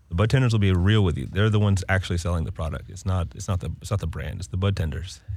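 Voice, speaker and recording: Very fast and very deep, a man speaks with an American accent and vocal fry. His pitch varies in an ordinary way. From Winston-Salem, North Carolina. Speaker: cannabis brand representative. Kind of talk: casual chat.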